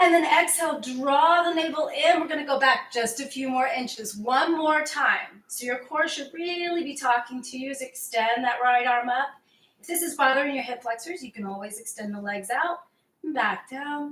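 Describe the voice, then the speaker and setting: A woman with a calm tone, high in pitch, with ordinary pitch variation and big swings in loudness. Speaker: fitness instructor. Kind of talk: workout instruction. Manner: slow, calm cueing.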